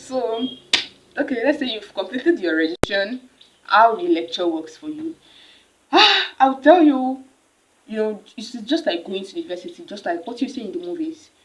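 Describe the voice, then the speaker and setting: A woman with a Nigerian accent speaks at a high pitch. Her pitch swings very widely and her loudness rises and falls sharply. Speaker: university student vlogger. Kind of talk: casual advice vlog. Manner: fast; animated.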